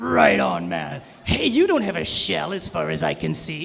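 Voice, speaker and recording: A man doing a put-on character voice at a moderate pace. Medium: stage play. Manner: laid-back, slangy.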